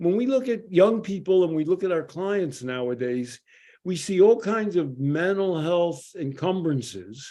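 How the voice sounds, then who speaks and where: Speaking fairly slowly with a Philadelphia accent, a man uses a high pitch and lively intonation. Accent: Philadelphia American English. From US Northeast, Philadelphia. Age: 70s. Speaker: addiction psychologist. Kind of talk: podcast commentary. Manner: conversational with frequent fillers.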